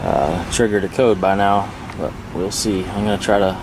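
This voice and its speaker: A man with a very deep, low voice speaks in a flat monotone over noticeable background noise and audible room echo. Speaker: car vlogger. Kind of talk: travel vlog. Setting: outdoors at truck stop. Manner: casual; quiet, keeping voice down.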